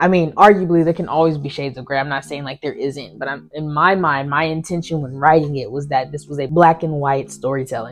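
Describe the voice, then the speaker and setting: With an American accent, a woman with a very deep, low voice talks at a fairly quick pace with hardly any pauses, fairly even intonation and big swings in loudness. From United States. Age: adult. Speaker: poet and filmmaker. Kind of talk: interview, answering questions. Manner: halting, with repeated words and fillers.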